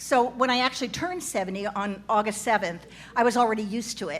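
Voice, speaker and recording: Noticeable background noise sits behind a woman's voice. She talks at a moderate pace with a fairly high pitch and ordinary variation. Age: 70s. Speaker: comedic storyteller, cast member of a live show. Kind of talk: live stage monologue. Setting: stage with live audience.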